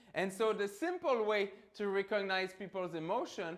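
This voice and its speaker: Loud and in a French Canadian accent, the speaker keeps a moderate pace with ordinary pitch variation. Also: man. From Quebec, Canada. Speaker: professor. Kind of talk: lecture. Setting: lecture hall with microphone. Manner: animated.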